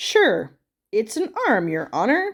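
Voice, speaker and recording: A woman in a put-on character voice. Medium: read story.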